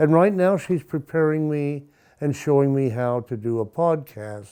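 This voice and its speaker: A man with a fairly high pitch talks in a dark, mellow tone. His pace is moderate, and his pitch varies in an ordinary way. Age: 70s. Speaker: retired art teacher and author. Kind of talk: documentary interview. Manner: halting.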